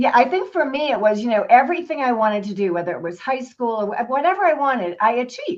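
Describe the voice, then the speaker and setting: A woman with a high voice swings very widely in pitch. She talks at a very fast pace with hardly any pauses. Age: 60s. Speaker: financial advisor and business owner. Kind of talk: interview.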